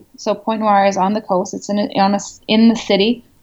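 Medium in pitch, a woman's voice moves at a moderate pace. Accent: Canadian. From Canada. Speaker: expat blogger and writer. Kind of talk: interview. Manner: hesitant, with fillers.

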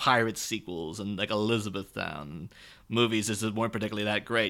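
A man with an Irish accent, medium pitch, bright and sharp in tone, at a moderate pace, on a very clean recording with a silent background. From Ireland. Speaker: guest podcast host. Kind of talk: casual chat. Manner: animated, laughing often.

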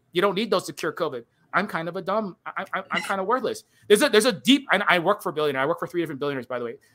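A man talks at a very fast pace with a high pitch and a bright, sharp tone. His delivery is animated, with lively intonation. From Hawaii, Honolulu (Kalihi). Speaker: streamer and indie game developer. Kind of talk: casual interview on live stream. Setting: online live stream. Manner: animated, rapid ranting; halting with many repetitions.

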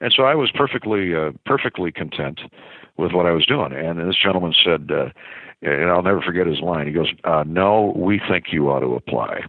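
A man's very deep, low voice, lively in intonation and fairly quick in pace. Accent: Midwestern American. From US Midwest (small-town Iowa). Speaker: sports play-by-play broadcaster. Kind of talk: casual interview.

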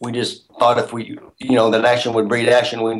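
Speaking at a fairly quick pace, a man uses a plain, everyday voice at a medium pitch. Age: 60s. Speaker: actor and first-time film director. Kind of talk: interview.

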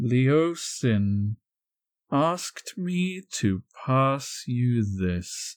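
Using a put-on character voice, a man talks very slowly at a medium pitch with very wide pitch swings. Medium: actual play. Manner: formal, polite.

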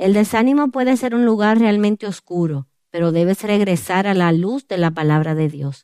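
A woman's plain, everyday voice, medium in pitch with lively intonation, at a moderate pace, dry and close with no echo. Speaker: author and women's ministry speaker. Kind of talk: testimony.

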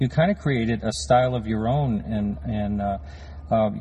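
His voice is fairly low and somewhat breathy. This man's pitch swings very widely. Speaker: podcast host. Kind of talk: interview. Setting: on location at animation studio.

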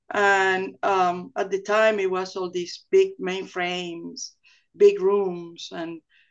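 A woman with a Venezuelan accent, at a very slow pace. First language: Spanish. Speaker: oil company executive. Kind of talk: casual interview.

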